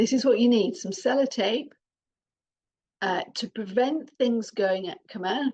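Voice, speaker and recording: A woman speaks in a British accent at a fairly high pitch. Her pace is moderate and her pitch variation ordinary. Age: 60s. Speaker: parenting coach, adoptive mother. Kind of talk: podcast talk to listeners.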